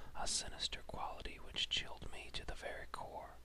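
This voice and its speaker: Someone speaks in a whisper. Noticeable background noise sits underneath. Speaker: whisperer (ASMR-style reader). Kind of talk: horror story reading, whispered. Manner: whispered, slow.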